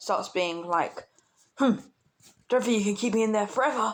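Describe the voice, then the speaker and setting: In a British accent, a woman speaks at a medium pitch. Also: very clean recording, silent background. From Britain. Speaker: fan fiction storyteller. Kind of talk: improvised storytelling. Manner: hesitant, many fillers.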